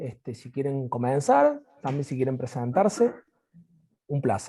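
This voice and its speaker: This man has a fairly high pitch and a dark, mellow tone that is somewhat breathy. His voice moves in very wide pitch swings. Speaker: university physical education lecturer. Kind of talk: video call panel moderation.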